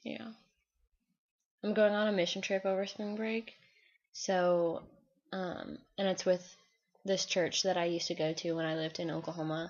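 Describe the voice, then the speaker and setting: At a moderate pace, a woman with a medium pitch keeps her intonation fairly even and leaves long, frequent pauses. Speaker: college student vlogger. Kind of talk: video diary. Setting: alone in dorm room, recording on computer. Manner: forceful when passionate.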